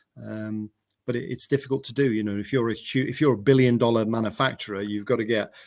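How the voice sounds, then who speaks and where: Over a silent background on a very clean recording, a man talks at a very fast pace. His pitch is medium and his intonation fairly even. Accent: English. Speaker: mower company manager. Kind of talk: casual chat. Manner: halting, stuttering.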